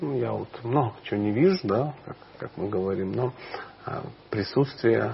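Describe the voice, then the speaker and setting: A man talks at a fairly slow pace, his intonation lively. Long, frequent pauses break up his speech, and noticeable background noise runs underneath. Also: medium pitch for a man. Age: 40s. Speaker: spiritual teacher. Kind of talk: interview.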